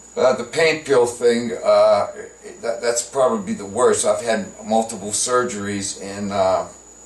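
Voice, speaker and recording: Fairly slow speech from a man, with noticeable background noise behind it. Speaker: comedian. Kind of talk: improvised casual talk to camera. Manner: halting, many filler words.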